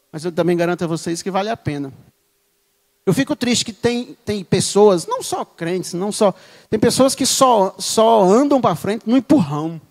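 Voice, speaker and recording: Speaking at a fairly slow pace, a man sounds animated, his intonation lively. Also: long, frequent pauses, dry, close sound with no echo. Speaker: lay preacher. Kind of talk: sermon. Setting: church.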